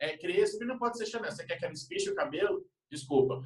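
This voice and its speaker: This man's high voice swings through very wide pitch changes. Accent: northeastern Brazilian. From Northeast Brazil, Recife. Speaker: retail executive. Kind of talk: casual discussion.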